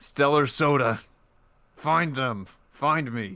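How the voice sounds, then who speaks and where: A raspy, put-on character voice from a man, fairly high-pitched and very slow. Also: ordinary pitch variation. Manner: through clenched teeth.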